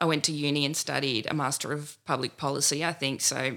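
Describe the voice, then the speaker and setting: A woman speaks in a very deep, low voice with a bright, sharp tone. She has an Australian accent and keeps a moderate pace. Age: 30s. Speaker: political candidate. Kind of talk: interview.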